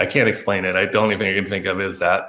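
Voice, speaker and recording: With a Chinese accent, the voice carries a bright, sharp tone. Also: man. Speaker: lighting designer. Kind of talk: casual chat. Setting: video call. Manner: halting.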